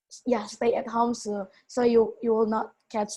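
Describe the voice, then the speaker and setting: A woman with a non-native accent and a dark, mellow tone, fairly high in pitch. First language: not English. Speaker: youth event participant. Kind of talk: testimony. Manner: halting.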